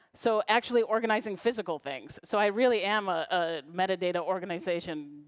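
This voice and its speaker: A woman with a normal speaking voice, medium pitch and lively intonation, in a very clean recording with a silent background. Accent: American. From US Midwest, Chicago. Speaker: librarian and knowledge management consultant. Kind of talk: conference talk.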